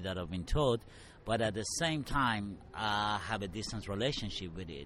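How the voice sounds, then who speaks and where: Music plays in the background as a man with a fairly low pitch speaks at a fairly quick pace with ordinary pitch variation. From Middle East. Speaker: artist. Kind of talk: interview.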